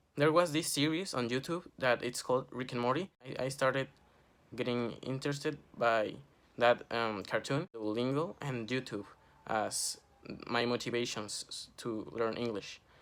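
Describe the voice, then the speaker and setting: A man speaks with a Spanish accent. His pace is moderate, with ordinary pitch variation. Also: medium pitch for a man. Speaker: student. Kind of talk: class project vlog.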